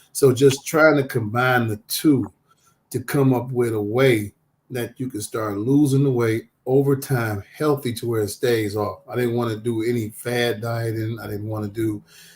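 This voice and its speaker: At a moderate pace, a man speaks in a somewhat breathy, medium-pitched voice with fairly even intonation. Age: 50s. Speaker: social worker. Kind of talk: talk show interview.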